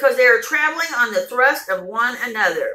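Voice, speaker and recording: Against a quiet background, a woman uses a raised, projected voice at a moderate pace with lively intonation. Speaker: vlogger. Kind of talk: reading a story aloud. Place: home room. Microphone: phone near.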